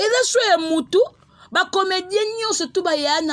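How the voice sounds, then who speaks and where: A woman is speaking. Her pace is moderate. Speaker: online chronicler / YouTube host. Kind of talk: casual vlog monologue. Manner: animated.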